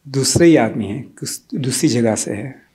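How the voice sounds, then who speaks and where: The man's voice has a dark, mellow tone. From Tanzania, East Africa, Gujarati family. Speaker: devotee speaker at memorial gathering. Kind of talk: personal testimony. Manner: halting, with many fillers.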